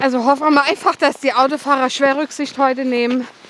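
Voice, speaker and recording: Her pitch is high, and this woman keeps a moderate pace. Background noise is noticeable. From Germany, Westerwald. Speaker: hiking podcast co-host. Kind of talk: casual chat while hiking. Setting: outdoors on a snowy hike.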